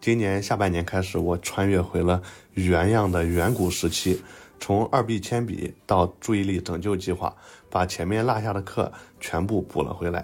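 A man with a very deep, low pitch talks at a moderate pace and fairly even intonation in a very clean recording, the background silent. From Xuzhou, Jiangsu. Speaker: renovation worker, listener. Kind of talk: recorded listener message.

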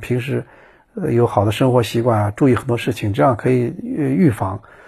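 A man speaks at a moderate pace and medium pitch, somewhat breathy with a dark, mellow tone, on a very clean recording with a silent background. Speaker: podcast host, former traveling reporter. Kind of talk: casual solo monologue. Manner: halting, many fillers and repetitions.

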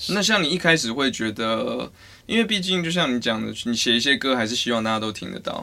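Bright and sharp with vocal fry, this voice speaks at a fairly quick pace with lively intonation and a Taiwanese accent, in a very clean recording with a silent background. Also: man, medium pitch for a man. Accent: Taiwanese Mandarin. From Taiwan, Taichung. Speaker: podcast host. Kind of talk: casual chat.

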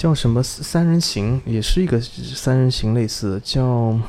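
Soft-spoken and gentle in tone, a man with a medium pitch talks at a fairly slow pace with ordinary pitch variation. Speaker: car enthusiast, podcast listener. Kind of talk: casual interview chat. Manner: gentle, soft-spoken.

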